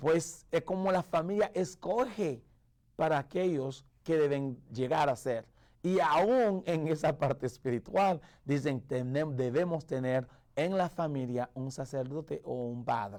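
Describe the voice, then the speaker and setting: In a Haitian accent, a man speaks very slowly with a fairly high pitch and lively intonation, on a very clean recording with a silent background. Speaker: pastor. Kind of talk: radio sermon. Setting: radio broadcast. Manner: halting, with self-corrections.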